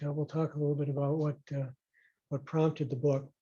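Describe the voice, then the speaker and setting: Here a man speaks with a fairly high pitch and a dark, mellow tone. His delivery is monotone and flat, and somewhat breathy. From Rochester, Minnesota. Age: 60s. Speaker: retired physician and local historian. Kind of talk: public talk. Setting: talk with live audience. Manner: hesitant, many fillers.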